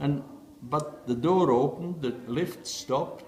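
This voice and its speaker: Amid noticeable background noise, a man with a fairly high pitch and lively intonation talks at a fairly slow pace. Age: 70s. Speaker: chess player. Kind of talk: interview answer. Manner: hesitant, reminiscing.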